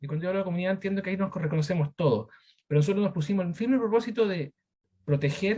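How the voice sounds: The man talks at a fast pace in a high voice with a slightly mellow tone and ordinary pitch variation.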